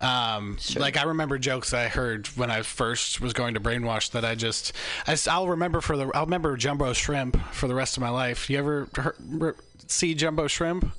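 A man with a medium pitch and ordinary pitch variation talks at a moderate pace, noticeable background noise audible behind him. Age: 20s. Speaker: stand-up comedian. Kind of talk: casual chat.

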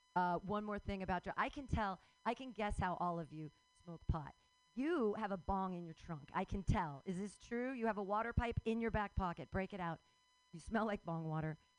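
The speaker goes at a fairly quick pace with ordinary pitch variation, music playing in the background. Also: woman, medium pitch for a woman. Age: 40s. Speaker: comedy open mic host. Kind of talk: stand-up. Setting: stage with audience.

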